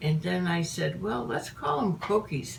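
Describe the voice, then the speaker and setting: A woman's fairly low-pitched voice amid noticeable background noise. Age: 80s+. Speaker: home baker teaching a family recipe. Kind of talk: casual cooking demonstration.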